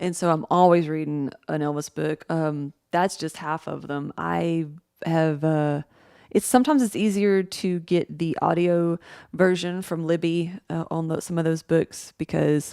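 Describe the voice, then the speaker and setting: A woman with an American accent speaks fairly slowly at a fairly low pitch. The recording is very clean, with a silent background. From Tennessee, US South. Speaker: book vlogger and mixing and mastering teacher. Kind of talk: casual monologue vlog. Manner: hesitant, many fillers.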